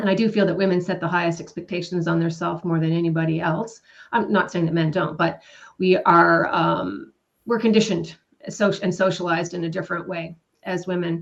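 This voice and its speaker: A woman with an ordinary speaking voice talks at a fairly quick pace, fairly low in pitch, with fairly even intonation. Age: 50s. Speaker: co-author of a self-help book. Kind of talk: live panel self-introduction. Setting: live online stream.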